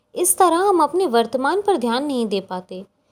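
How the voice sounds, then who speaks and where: A woman speaks at a high pitch with very wide pitch swings. The recording is very clean, with a silent background. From India. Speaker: voice-over artist. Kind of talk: motivational story narration.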